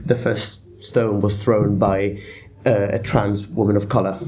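A man with an Italian accent at a moderate pace. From Italy. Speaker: deputy editor of student paper. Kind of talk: casual discussion.

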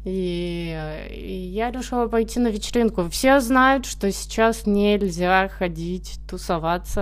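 This woman talks at a very slow pace. Audible room echo surrounds her voice. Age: 20s. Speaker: podcast host. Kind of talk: casual monologue. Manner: animated.

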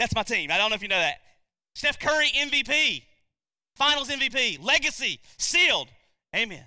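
A man speaks in a raised, projected voice with extremely high pitch and a bright, sharp tone. His intonation is lively, with long, frequent pauses, in a very clean recording with a silent background. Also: moderate pace. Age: 40s. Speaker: pastor. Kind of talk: sermon.

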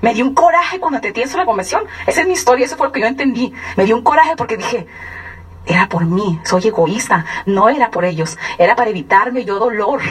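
The speaker talks at a very fast pace with very wide pitch swings over noticeable background noise. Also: woman, fairly high pitch for a woman. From Mexico, Sonora (San Luis Río Colorado). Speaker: business distributor giving testimony. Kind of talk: testimony. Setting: stage with audience. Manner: animated.

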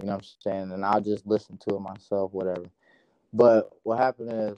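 A man with an American accent talks at a fairly quick pace, fairly low in pitch. His tone is dark and mellow, and his intonation is monotone and flat. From Fort Wayne, Indiana. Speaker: music artist. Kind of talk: casual chat.

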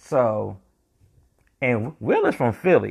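Over a quiet background, a man with an American accent speaks at a medium pitch with lively intonation. His is an unremarkable speaking voice. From North Carolina. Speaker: podcast host. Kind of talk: casual monologue commentary.

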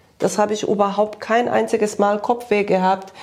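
At a moderate pace, a woman talks in a medium-pitched voice. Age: 50s. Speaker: nutrition coaching client. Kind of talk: testimonial interview. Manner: halting, many fillers.

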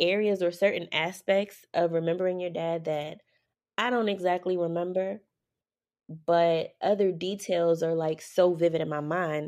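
A woman with an American accent speaks in a plain, everyday voice, fairly low in pitch. Her pace is fairly slow and her intonation fairly even. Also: quiet background. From New York City, Harlem. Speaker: podcast host. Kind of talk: casual chat.

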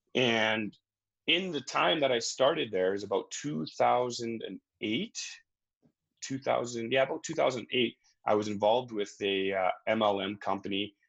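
Very slow speech from a man at a medium pitch, with ordinary pitch variation and a quiet background. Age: 30s. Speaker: mindset coach. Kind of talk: interview.

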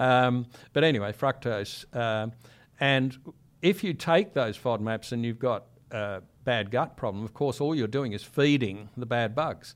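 Here a man speaks with an Australian accent at a fairly slow pace. His pitch is medium with ordinary variation, on a very clean recording with a silent background. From Sydney, Australia. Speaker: microbiologist. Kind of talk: interview.

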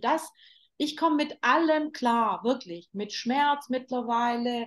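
This woman has a high pitch. She speaks at a very slow pace. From Germany, Turkish parents. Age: 40s. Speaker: fashion designer and label founder. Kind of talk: interview conversation. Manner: animated, many fillers and restarts.

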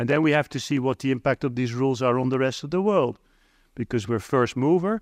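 A man with a Dutch accent speaks at a very fast pace in a medium pitch with ordinary pitch variation. The sound is dry and close with no echo, over a quiet background. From Netherlands. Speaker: diplomat. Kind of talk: conference keynote. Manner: halting, many fillers and repetitions.

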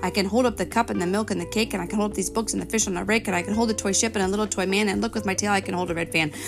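A woman talks at a very fast pace over background music, with hardly any pauses. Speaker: reader of children's books. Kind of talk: reading aloud a children's picture book, pausing to point out pictures. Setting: recorded read-aloud with page-turn chimes, addressing a child.

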